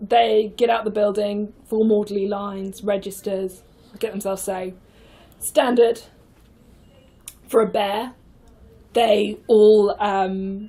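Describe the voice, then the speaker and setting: A woman's fairly high voice in a British accent, with a dark, mellow tone, ordinary pitch variation, a very slow pace and long, frequent pauses. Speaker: improviser. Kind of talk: casual chat.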